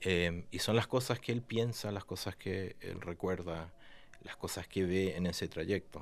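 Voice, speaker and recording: A man with a very deep, low pitch speaks fairly slowly with fairly even intonation on a very clean recording with a silent background. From Argentina. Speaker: writer. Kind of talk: interview. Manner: halting, with many fillers.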